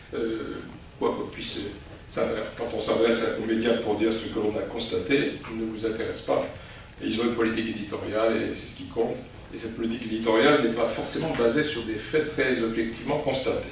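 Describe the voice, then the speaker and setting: A man with a medium pitch talks at a fairly quick pace with fairly even intonation, amid noticeable background noise and audible room echo. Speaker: international law scholar, conference speaker. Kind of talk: lecture. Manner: hesitant, many fillers.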